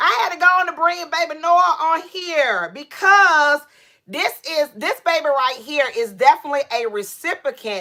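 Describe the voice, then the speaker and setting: This woman's voice is raised and projected, with a bright, sharp, animated tone. Her intonation is lively while her pace stays fairly slow. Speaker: doll collector livestreamer. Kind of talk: casual livestream chat. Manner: loud.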